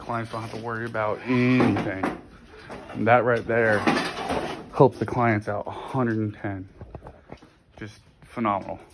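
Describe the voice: Amid audible room echo, a man with a fairly low pitch speaks at a fairly slow pace, using fairly even intonation, vocal fry and long, frequent pauses.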